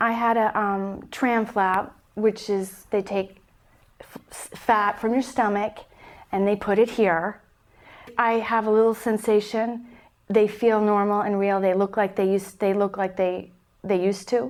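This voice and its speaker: At a fairly slow pace, a woman talks in a medium pitch with a monotone, flat intonation. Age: 30s. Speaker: breast cancer survivor. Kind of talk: interview answer.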